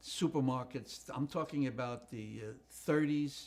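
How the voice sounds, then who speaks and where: This man's pitch is fairly high. It varies in an ordinary way. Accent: New York. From New York City, the Bronx. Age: 80s+. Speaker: retired comedy writer. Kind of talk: life story interview. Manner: halting, many fillers.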